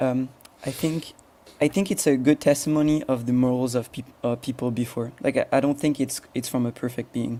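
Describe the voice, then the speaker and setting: A man with a French accent speaks in a dark, mellow tone. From France. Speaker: agnostic debater. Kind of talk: debate. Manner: halting.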